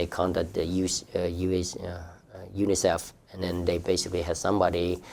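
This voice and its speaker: In a very clean recording with a silent background, a man with a very deep, low voice speaks at a moderate pace in a monotone, flat intonation. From southern Vietnam. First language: Vietnamese. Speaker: refugee telling life story, city employee. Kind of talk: personal testimony. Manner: hesitant, many fillers and repetitions.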